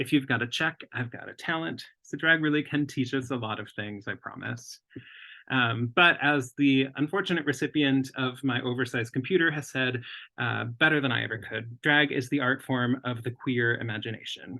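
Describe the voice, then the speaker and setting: A man's medium-pitched voice with an American accent, ordinary pitch variation, and a moderate pace. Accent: Minnesota accent when nervous. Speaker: lettering artist and designer. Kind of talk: lecture.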